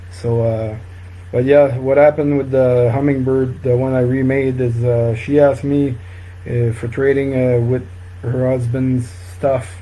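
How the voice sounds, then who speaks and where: Somewhat breathy speech with a dark, mellow tone, a fairly slow pace and fairly even intonation, plus audible room echo. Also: man. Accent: French Canadian. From northern New Brunswick, Canada. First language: French. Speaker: fly tying instructor. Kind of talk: live-stream tutorial. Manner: halting, many fillers.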